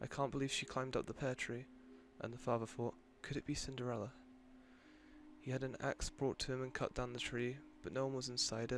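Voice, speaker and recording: Soft-spoken and monotone, a man talks at a fairly quick pace, breaking often with long pauses. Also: medium pitch for a man. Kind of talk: read story; sleep story.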